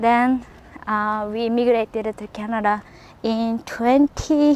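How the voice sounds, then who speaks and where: Speaking with a Japanese accent, a woman has a fairly high pitch and fairly even intonation. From Japan, rural area near Nagoya. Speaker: podcaster. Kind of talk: casual monologue. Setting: outdoors, walking. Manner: halting.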